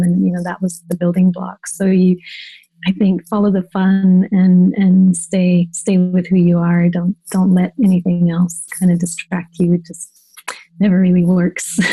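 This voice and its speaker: Soft-spoken and somewhat breathy, the voice has a dark, mellow tone and moves at a fairly slow pace. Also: woman. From Germany. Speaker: designer and agency owner. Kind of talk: interview.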